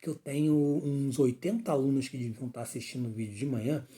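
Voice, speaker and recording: Somewhat breathy, with a dark, mellow tone: a man at medium pitch. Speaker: teacher. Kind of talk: lecture. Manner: fast; clipping words mid-sentence.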